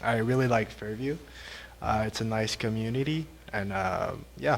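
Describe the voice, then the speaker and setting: In a Quebec accent, a man talks at a medium pitch with ordinary pitch variation. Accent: Québécois French accent in English. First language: French. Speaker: police constable. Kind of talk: self-introduction at council meeting. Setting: town council meeting. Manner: halting.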